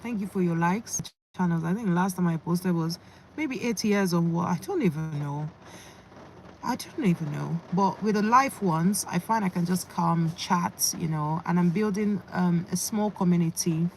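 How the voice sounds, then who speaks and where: Over noticeable background noise, a woman talks in a fairly low voice with ordinary pitch variation. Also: moderate pace. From England. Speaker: fitness youtuber. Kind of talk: casual live-stream chat. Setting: in a parked car.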